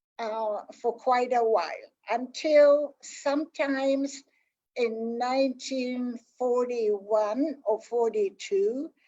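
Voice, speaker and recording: The tone is dark and mellow. Delivery is very slow, with ordinary pitch variation. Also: woman, high pitch for a woman. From France, then Poland and Ukraine. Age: 80s+. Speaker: Holocaust survivor speaker. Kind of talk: testimony. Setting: online livestream. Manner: halting, many fillers.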